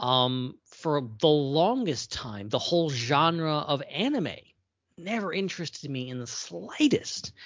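This man has an ordinary speaking voice, fairly high in pitch, delivered at a fairly slow pace. His intonation is lively and his loudness swings a lot. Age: 30s. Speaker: podcast co-host. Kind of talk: casual chat.

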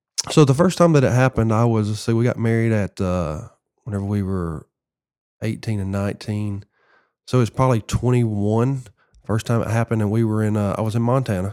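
With a Southern US accent, a man with a medium pitch and a dark, mellow tone talks at a fairly quick pace with ordinary pitch variation, on a very clean recording with a silent background. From US South, Tennessee. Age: 40s. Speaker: former pro baseball player. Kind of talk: testimony.

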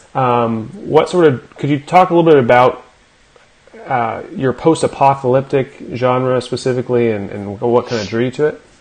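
Noticeable background noise sits behind a man speaking at a fairly quick pace, medium in pitch with ordinary pitch variation. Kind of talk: casual interview chat.

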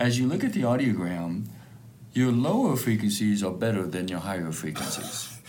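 Noticeable background noise surrounds a man whose fairly low voice has lively intonation. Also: moderate pace. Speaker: hearing specialist. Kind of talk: explanatory consultation. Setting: clinic.

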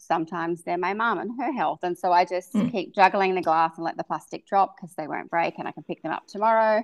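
With an Australian accent, a woman speaks at a very fast pace with hardly any pauses. Her loudness swings widely. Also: medium pitch for a woman, ordinary pitch variation. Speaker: beauty and fashion expert, podcast host. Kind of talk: casual interview chat.

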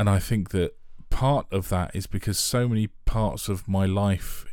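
Moderate pace from a man with a London accent, fairly low pitch, dark, mellow tone and monotone, flat intonation, in a very clean recording with a silent background. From Northwest London, England. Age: 40s. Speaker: podcast host. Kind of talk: casual chat. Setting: home studio. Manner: halting.

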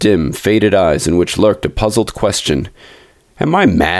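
Unforced reading with pitch that varies in an ordinary way

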